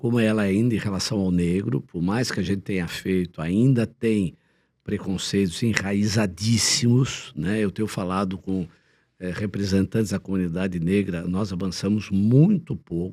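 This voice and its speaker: A man talks at a moderate pace with a fairly low pitch and a dark, mellow tone. His pitch varies in an ordinary way, and the recording is very clean with a silent background. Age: 70s. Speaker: former sports executive and politician. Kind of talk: interview.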